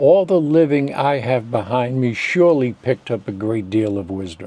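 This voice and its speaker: This man's voice has a dark, mellow tone and sits at a medium pitch. He speaks at a moderate pace with lively intonation. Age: 80s+. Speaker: YouTuber and memoir author. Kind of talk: scripted talk to camera.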